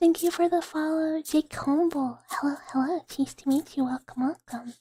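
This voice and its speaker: A whisper at a moderate pace. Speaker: ASMR vtuber streamer. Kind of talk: live ASMR stream. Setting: live stream. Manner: whispering.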